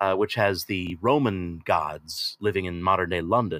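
At a fairly slow pace, a man with an American accent and a plain, everyday voice speaks at a fairly low pitch, in a dry, close sound with no echo on a very clean recording with a silent background. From United States. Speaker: audiobook narrator and actor. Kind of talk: casual interview.

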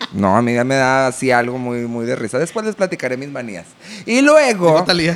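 This is a man speaking with a Mexican accent. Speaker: podcast host, children's entertainer and producer. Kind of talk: casual chat.

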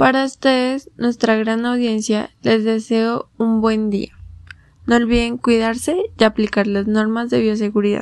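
The delivery is fairly slow. Overall, it is an unremarkable speaking voice. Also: woman, fairly high pitch for a woman, fairly even intonation. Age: young. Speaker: student podcast host. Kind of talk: interview. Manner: formal.

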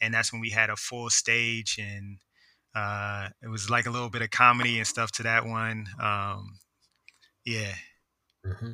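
A man with an American accent, a bright, sharp tone, medium pitch, and monotone, flat intonation, on a very clean recording with a silent background. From Philadelphia. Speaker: visual artist. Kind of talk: casual chat.

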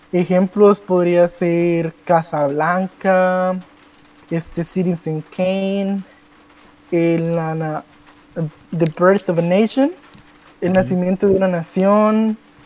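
A man with a Guatemalan accent speaks in a high voice at a very slow pace, leaving long, frequent pauses, with fairly even intonation and a dry, close sound free of echo. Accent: Guatemalan Spanish, unchanged. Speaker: youtuber. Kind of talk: casual chat.

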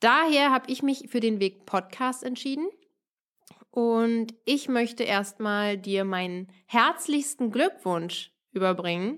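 A woman's fairly high voice with lively intonation at a very slow pace, in a very clean recording with a silent background. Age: 30s. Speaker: wedding podcast host. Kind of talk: solo podcast monologue.

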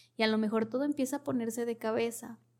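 A woman's warm-toned, fairly high-pitched voice on a very clean recording with a silent background. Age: 30s. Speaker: podcast host, wellness/therapy speaker. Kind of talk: solo podcast monologue, motivational advice. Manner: warm, conversational.

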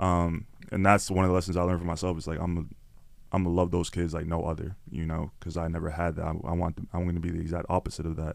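A man talks at a very fast pace in a Toronto accent. His pitch is very deep and low. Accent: Toronto Canadian English. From Canada, Toronto (Scarborough). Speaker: content creator and podcaster. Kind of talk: casual interview chat. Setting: studio. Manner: animated.

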